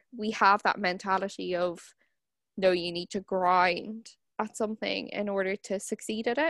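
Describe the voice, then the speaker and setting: The delivery comes at a fairly slow pace with fairly even intonation. The sound is dry and close, with no echo. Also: woman. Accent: Irish. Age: 20s. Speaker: podcast host and barrister. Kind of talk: casual interview chat.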